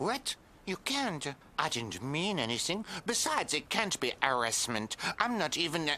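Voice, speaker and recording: Over clear background noise, a man puts on a cartoonish character voice, fairly high for a man, moving at a moderate pace with very wide pitch swings. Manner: scornful, gloating.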